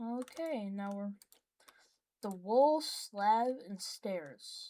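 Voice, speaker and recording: A woman's dark, mellow voice, fairly high in pitch, with very wide pitch swings and a very slow pace. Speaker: gaming youtuber. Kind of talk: gameplay commentary. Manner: halting, with long pauses; casual, unscripted.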